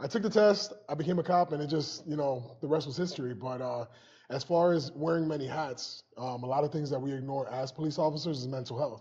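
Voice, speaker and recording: Talking in a normal speaking voice, a man with an American accent speaks at a fairly high pitch and a fairly quick pace, with ordinary pitch variation. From Springfield, Massachusetts, US. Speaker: police officer and comedian. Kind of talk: interview, personal story.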